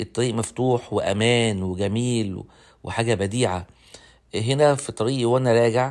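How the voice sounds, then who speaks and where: Fairly even intonation from a man with an Egyptian accent at a fairly slow pace. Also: medium pitch for a man. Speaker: travel vlogger. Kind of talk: travel vlog narration. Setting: outdoors. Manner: halting.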